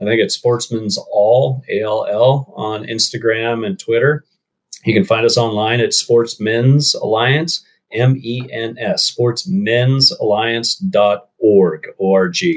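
Somewhat breathy, a man talks at a very slow pace with ordinary pitch variation. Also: medium pitch for a man. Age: 40s. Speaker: conservation group marketing executive. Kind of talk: casual interview.

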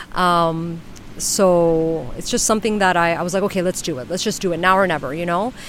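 A woman talks at a fairly quick pace. Her pitch is fairly low, with ordinary variation. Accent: New York. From New York City. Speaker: flamenco dancer and singer-songwriter. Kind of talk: casual interview chat. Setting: outdoors on a beach. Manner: halting, many fillers.

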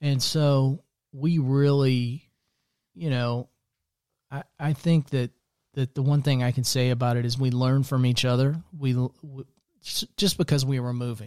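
Speaking with an American accent in a medium pitch, a man uses fairly even intonation and long, frequent pauses, captured as a dry, close sound with no echo. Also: fairly slow pace. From US Midwest, central Iowa. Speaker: podcast host, life coach. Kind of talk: casual faith conversation.

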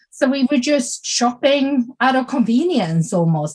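A woman speaks with a Swedish accent, her voice somewhat breathy. She talks at a fairly slow pace with lively intonation. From Sweden. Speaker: small business coach and podcast host. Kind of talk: casual chat. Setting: video call.

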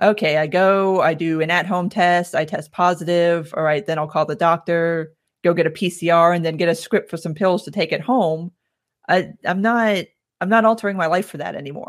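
With an American accent, a woman speaks in an ordinary speaking voice at a moderate pace and with fairly even intonation, on a very clean recording with a silent background. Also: fairly low pitch for a woman. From South Florida. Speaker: podcaster and online commentator. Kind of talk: casual chat.

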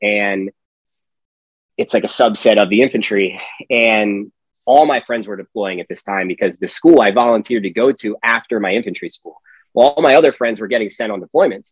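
A man with an unremarkable speaking voice talks fairly quickly at a medium pitch with ordinary pitch variation. His loudness swings widely, and the sound is dry and close with no echo. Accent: American. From Pennsylvania. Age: 30s. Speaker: Marine veteran and golf company founder. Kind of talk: casual interview chat.

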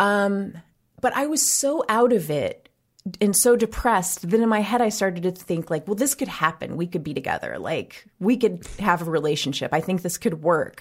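Here is a woman with an ordinary speaking voice. She talks at a medium pitch and a moderate pace. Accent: American. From US Midwest. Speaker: writer and podcast host. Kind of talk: casual interview.

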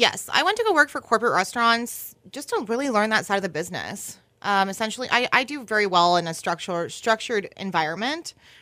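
A woman speaks at a fairly quick pace in a bright, sharp tone. The recording is very clean, with a silent background. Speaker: restaurant marketing officer and beverage director. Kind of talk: interview.

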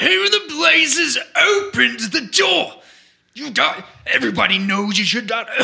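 A put-on character voice from a man, pitched high and delivered at a moderate pace. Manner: gruff, scolding.

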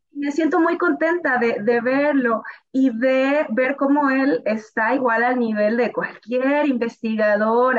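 A woman talks at a very slow pace in a high pitch. Her pitch varies in an ordinary way. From Mexico, northern Veracruz. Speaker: computer science professor and researcher. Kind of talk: interview conversation.

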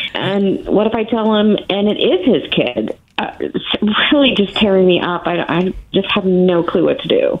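Lively intonation from a woman at a moderate pace, over noticeable background noise. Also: medium pitch for a woman. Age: 30s. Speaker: caller seeking advice. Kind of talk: call-in advice. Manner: halting.

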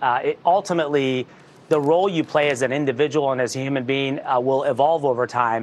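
A man with a fairly high pitch talks fairly quickly, with ordinary pitch variation and a plain, everyday voice. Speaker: tech company executive. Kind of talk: interview.

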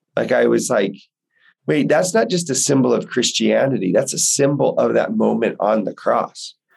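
The pace is moderate. Loudness stays very even throughout. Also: man. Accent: American. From Texas, Houston. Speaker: religion teacher. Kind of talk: casual interview.

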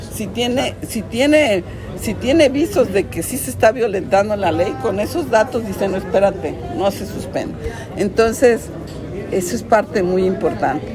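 Amid crowd noise and audible room echo, a woman speaks at a medium pitch with lively intonation. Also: moderate pace. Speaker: judge. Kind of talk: press conference.

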